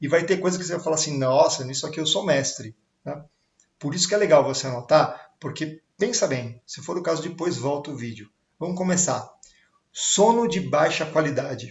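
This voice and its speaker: A man's unremarkable speaking voice, fairly high in pitch with ordinary variation, at a moderate pace with big swings in loudness. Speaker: sales coach. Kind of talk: online talk on sales. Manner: casual, filler-heavy.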